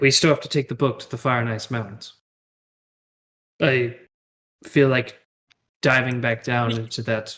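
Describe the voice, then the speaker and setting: A man's raspy put-on character voice at medium pitch, monotone and flat in intonation, at a moderate pace with long, frequent pauses. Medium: actual play.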